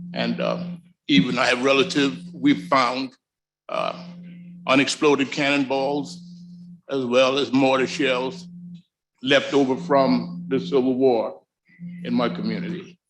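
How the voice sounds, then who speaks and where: A man with a medium pitch and an American accent speaks at a fairly slow pace with lively intonation. His delivery has long, frequent pauses, and audible room echo surrounds it. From US South. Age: 60s. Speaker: community representative. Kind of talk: public comment at council meeting. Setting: city council chambers.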